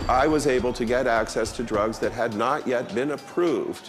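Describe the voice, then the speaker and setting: This man talks at a moderate pace with ordinary pitch variation. It is an ordinary speaking voice. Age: 60s. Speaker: activist. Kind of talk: interview.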